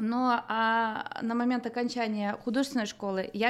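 A woman with a normal speaking voice and a fairly high pitch talks at a moderate pace with fairly even intonation. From northern Kazakhstan. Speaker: artist. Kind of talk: interview.

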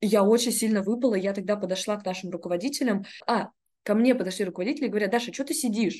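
This woman speaks at a very fast pace. Her pitch sits in the medium range. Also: ordinary pitch variation. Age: 20s. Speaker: entrepreneur. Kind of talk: casual chat.

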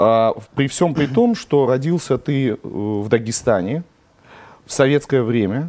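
A man's dark, mellow tone at medium pitch, with ordinary pitch variation. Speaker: interviewer. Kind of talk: friendly interview.

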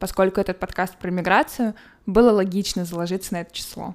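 Talking at a fairly quick pace, a woman has a normal speaking voice at medium pitch with ordinary pitch variation. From Moscow, Russia. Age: 20s. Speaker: podcast host. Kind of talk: solo podcast monologue.

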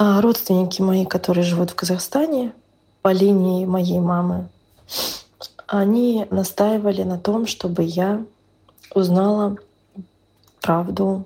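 A woman speaks at a medium pitch with fairly even intonation. Her pace is very slow. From northern Russia. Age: 30s. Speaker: podcast listener sharing a personal story. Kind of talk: personal testimony.

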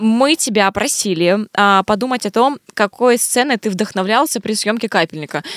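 A woman's plain, everyday voice at a fairly high pitch, moderate pace and ordinary pitch variation, with very even loudness and hardly any pauses. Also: dry, close sound with no echo. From Vladivostok, Russia. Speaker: podcast co-host. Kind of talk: casual chat.

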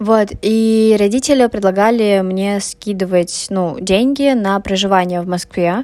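A woman talks at a fairly slow pace with hardly any pauses. Her voice sits at a medium pitch and has a dark, mellow tone. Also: ordinary pitch variation. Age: 20s. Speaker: podcaster, university student. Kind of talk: personal monologue podcast. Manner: halting, many filler sounds.

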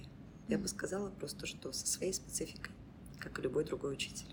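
A woman whispering at a fairly quick pace. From Belarus, Mozyr. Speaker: school principal and English teacher. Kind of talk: casual interview. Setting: improvised studio.

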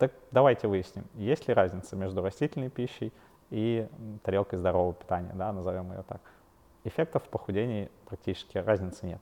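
In a normal speaking voice, a man talks at a fairly low pitch with ordinary pitch variation. His pace is fairly quick. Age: 30s. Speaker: fitness coach and nutritionist. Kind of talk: solo educational podcast. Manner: casual with frequent fillers.

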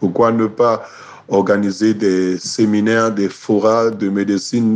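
A man speaks at a very slow pace. His voice is fairly low, with fairly even intonation. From Cameroon. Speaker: sports journalist. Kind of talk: interview.

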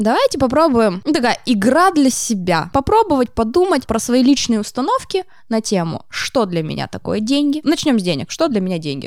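A woman with a high-pitched voice speaks in an animated tone, her pitch swinging very widely. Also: moderate pace. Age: 30s. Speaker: psychologist, art therapist. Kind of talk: casual interview chat. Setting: podcast studio.

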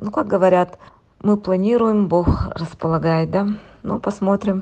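With long, frequent pauses, a woman talks at a medium pitch and a fairly even intonation. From Yakutia, Russia (rural village). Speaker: expat interviewee, former tax inspector. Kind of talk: remote interview. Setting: remote call from home.

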